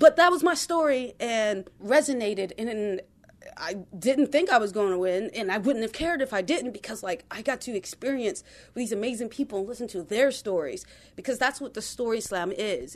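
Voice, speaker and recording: Loudness swings widely as a woman with a fairly high pitch speaks at a moderate pace with lively intonation. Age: 20s. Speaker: poet and storyteller. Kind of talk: personal storytelling.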